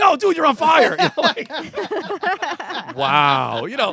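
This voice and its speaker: A man uses a raised, projected voice in an animated tone with very wide pitch swings, over noticeable background noise. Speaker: podcast guest. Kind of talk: casual chat. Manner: loud. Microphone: too close to the mic, loud.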